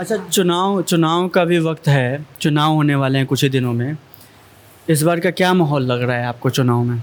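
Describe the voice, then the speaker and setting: This man has an ordinary speaking voice with a fairly high pitch. His pitch rises and falls in an ordinary way. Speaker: interviewer. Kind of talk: interview questions.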